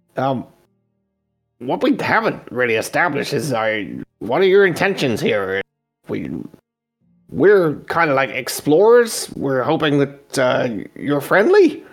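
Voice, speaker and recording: A man's put-on character voice, fairly high in pitch with very wide pitch swings, at a very slow pace over faint background music. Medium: actual play. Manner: casual, friendly, slightly cautious.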